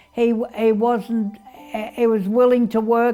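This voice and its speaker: Intonation stays monotone and flat as a woman talks in a fairly high register. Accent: Australian. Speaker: widow reminiscing. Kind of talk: documentary interview, life reminiscence.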